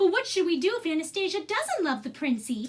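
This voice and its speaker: A woman puts on a squeaky character voice at an extremely high pitch. She talks at a fairly quick pace with very wide pitch swings. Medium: read story.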